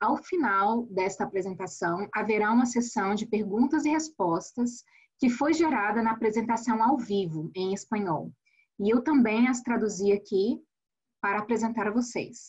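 A woman's somewhat breathy voice moves at a moderate pace with ordinary pitch variation. The background is quiet. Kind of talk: webinar introduction. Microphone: webcam.

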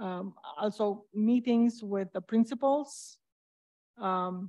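Against a quiet background, a woman talks with a Romanian accent. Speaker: school board candidate, parent; candidate. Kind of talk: candidate forum speech. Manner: halting. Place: stage.

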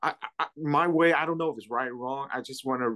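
The background stays quiet. A man talks with ordinary pitch variation. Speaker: Bible study participant. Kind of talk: prayer and group discussion. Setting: video call. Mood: calm, earnest faith talk. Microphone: video call.

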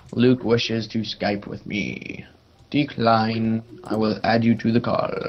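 A man's very slow, monotone, flat delivery with an American accent, over noticeable background noise. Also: medium pitch for a man. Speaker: gamer. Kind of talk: gameplay commentary.

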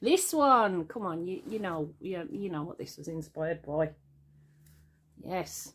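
A somewhat breathy woman with very wide pitch swings. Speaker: artist. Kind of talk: casual talk to camera. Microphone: phone near.

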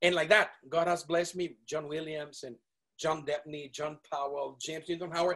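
A man's voice sounds bright and sharp, at a fairly high pitch. He keeps a moderate pace over a quiet background. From Venezuela. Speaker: multi-instrumentalist wind musician; guest. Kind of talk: interview; interview answer. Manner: animated. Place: studio. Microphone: video call.

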